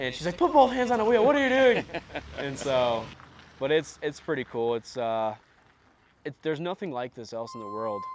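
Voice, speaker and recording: A man's fairly high voice with an American accent, very wide pitch swings, big swings in loudness and long, frequent pauses, over noticeable background noise. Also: moderate pace. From Indiana. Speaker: wildlife biologist and outdoorsman. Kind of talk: casual chat. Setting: outdoors. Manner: animated.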